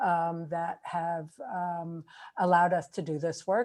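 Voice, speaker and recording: A woman speaks at a fairly low pitch with fairly even intonation. Hers is an unremarkable speaking voice. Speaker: microbiologist, keynote speaker. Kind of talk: scientific lecture.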